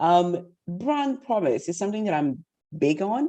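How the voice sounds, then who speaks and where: In a Portuguese accent, a woman speaks at a medium pitch with a dark, mellow tone and very wide pitch swings against a quiet background. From Portugal and Guinea-Bissau. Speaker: masterclass facilitator, bank director. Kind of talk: interactive online masterclass. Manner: confident.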